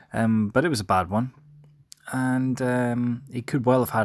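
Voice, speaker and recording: A quiet man at a moderate pace. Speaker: sports podcast host. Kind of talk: solo sports recap. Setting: recording from bed at home. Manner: quiet, subdued.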